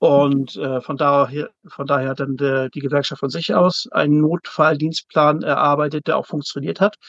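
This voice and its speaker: A man with an unremarkable speaking voice talks at a moderate pace and a fairly high pitch, with fairly even intonation and a dry, close sound with no echo. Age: 50s. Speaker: zookeeper and works council chair. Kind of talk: interview.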